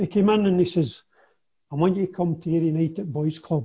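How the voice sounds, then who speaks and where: A man with an Ayrshire accent talks in a high pitch with ordinary pitch variation. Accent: Ayrshire Scottish. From Scotland, Kilmarnock (Ayrshire). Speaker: former footballer. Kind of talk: casual interview.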